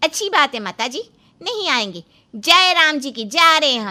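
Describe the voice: With faint music in the background, a woman puts on a cartoonish character voice, high in pitch with big pitch swings and a bright, sharp tone. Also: moderate pace.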